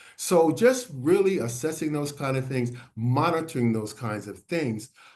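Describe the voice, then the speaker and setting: A man with a fairly high pitch speaks at a moderate pace with lively intonation, and the room echo is audible. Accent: American. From US Northeast (Philadelphia). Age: 70s. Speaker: health educator on HIV and aging. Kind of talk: webinar presentation. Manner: halting, many filler words.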